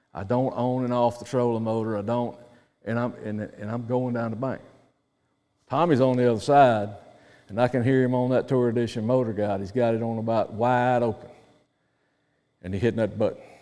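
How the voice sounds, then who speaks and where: A man talks with a Southern US accent at a medium pitch. His tone is dark and mellow, with long, frequent pauses. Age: 60s. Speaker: professional angler. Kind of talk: seminar talk. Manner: animated.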